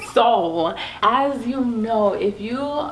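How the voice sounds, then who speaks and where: A woman speaks with audible room echo. Noticeable background noise runs beneath her voice. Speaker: family vlogger. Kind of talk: casual chat.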